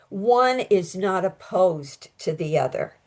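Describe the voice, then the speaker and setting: This voice comes with an American accent. Its pitch swings very widely. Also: woman. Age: 80s+. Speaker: astrologer. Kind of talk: interview. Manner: halting.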